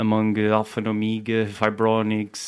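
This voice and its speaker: In a Portuguese accent, a man talks with a fairly low pitch. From Portugal. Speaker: reggae record label owner. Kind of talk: casual chat.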